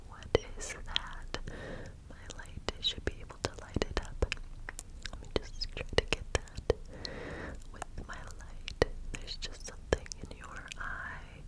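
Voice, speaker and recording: A woman whispers at a very slow pace. Long, frequent pauses break up her words. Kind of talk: soft ASMR role-play talk. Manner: soft close-mic ASMR murmur. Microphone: phone near.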